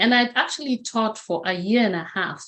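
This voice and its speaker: At a moderate pace, a woman speaks with a fairly high pitch. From Kenya. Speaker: motivational speaker. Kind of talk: interview.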